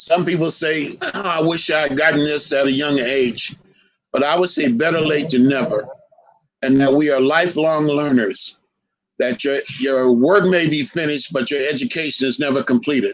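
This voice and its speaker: A plain, everyday voice from a man, fairly high in pitch with ordinary variation, at a moderate pace. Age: 60s. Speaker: historian lecturer. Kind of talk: lecture.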